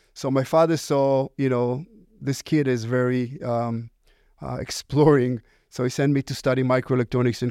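A man with an Israeli accent speaks at a moderate pace in a medium-pitched voice with a dark, mellow tone and fairly even intonation. The recording is very clean, with a silent background and a dry, close sound with no echo. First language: Hebrew. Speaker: company founder and CEO. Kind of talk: interview. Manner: halting.

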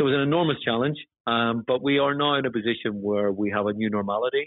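Fairly low in pitch with ordinary variation, a man with a Northern Irish accent talks at a very fast pace. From Northern Ireland. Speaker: housing chief executive. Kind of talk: formal interview about leadership. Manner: formal, measured.

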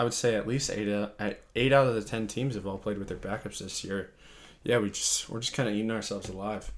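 A man with an American accent in an ordinary speaking voice, medium pitch and ordinary pitch variation. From Colorado. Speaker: sports podcast host. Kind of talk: casual chat.

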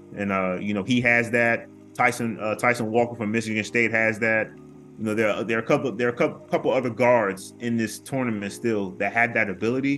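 A man talks at a fairly quick pace with a medium pitch and fairly even intonation. Music plays in the background. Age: 30s. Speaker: college basketball commentator. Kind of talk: casual chat.

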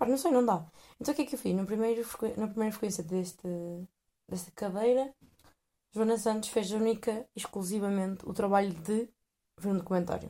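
Fairly quick speech with long, frequent pauses, a dark, mellow tone, ordinary pitch variation and a European Portuguese accent. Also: woman, fairly high pitch for a woman. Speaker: podcast host. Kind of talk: casual monologue. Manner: hesitant, many fillers.

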